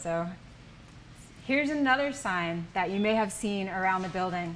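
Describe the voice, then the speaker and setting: A woman with an American accent speaks at a fairly slow pace with lively intonation, and room echo is audible. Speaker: language teacher. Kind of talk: language workshop. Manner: patient, encouraging.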